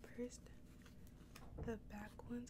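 A woman speaking over loud background noise. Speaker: ASMR creator. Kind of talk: ASMR mukbang, casual talk to camera while eating. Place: home room. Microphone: studio mic.

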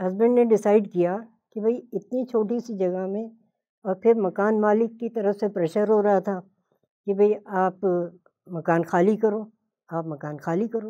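Fairly slow with long, frequent pauses, a woman speaks in a dark, mellow tone with fairly even intonation. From Hyderabad, India; later Bombay and Lucknow. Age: 80s+. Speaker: home cook and cooking video creator; cooking video creator. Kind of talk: motivational talk. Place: studio.

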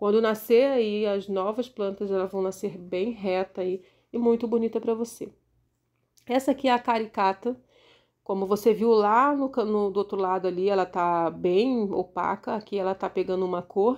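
This woman's intonation stays fairly even as she speaks at a moderate pace against a quiet background. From Rio de Janeiro, Brazil. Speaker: gardening YouTuber. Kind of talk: casual tutorial walkthrough of plants. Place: garden. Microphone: phone near.

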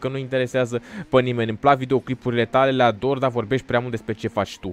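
The man speaks at a very fast pace. The sound is dry, with no echo. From Romania. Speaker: gaming YouTuber. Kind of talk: gameplay commentary. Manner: animated. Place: home room. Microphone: studio mic.

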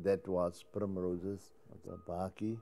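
Faint music plays in the background. A man speaks at a very slow pace. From Cape Town, South Africa. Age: 70s. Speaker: Cape Malay choir singer. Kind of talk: interview answer. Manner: humorous. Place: home room. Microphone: lapel.

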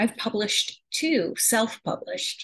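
A woman speaks very slowly with an American accent. The background is quiet. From upstate New York. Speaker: English instructor; course instructor. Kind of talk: self-introduction video. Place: kitchen. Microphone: webcam.

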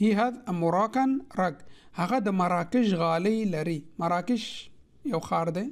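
The speaker talks at a fairly slow pace with a Pashto accent. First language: Pashto (speaking Arabic). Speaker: language teacher. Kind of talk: tutorial. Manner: slow, repetitive.

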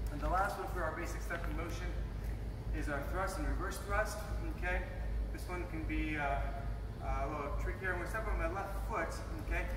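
The speaker talks at a fairly quick pace broken by long, frequent pauses, with audible room echo and noticeable background noise. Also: man. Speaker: martial arts instructor. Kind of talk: tutorial. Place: gym.

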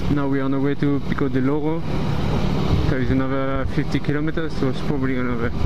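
Words come at a very fast pace. Loud background noise fills the recording. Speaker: motovlogger. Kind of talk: casual vlog chat. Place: motorbike. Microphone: helmet.

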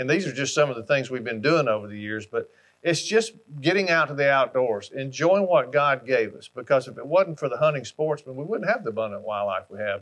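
A man with an Alabama accent, lively intonation and a fairly quick pace. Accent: Southern US (Alabama). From US South, Alabama. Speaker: hunting brand ambassador. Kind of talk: storytelling monologue. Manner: folksy, conversational. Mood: warm, nostalgic storytelling. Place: home room.

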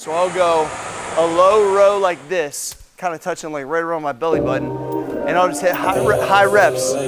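Clear music plays in the background. A man speaks at a moderate pace with ordinary pitch variation. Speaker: fitness coach. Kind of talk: tutorial. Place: gym.

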